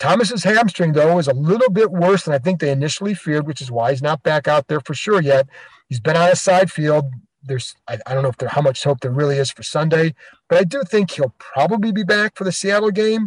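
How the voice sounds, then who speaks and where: Using an unremarkable speaking voice, a man with fairly high pitch talks at a fairly quick pace with lively intonation and a dry, close sound with no echo. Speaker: sports podcast host and reporter. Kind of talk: podcast hosting, interview.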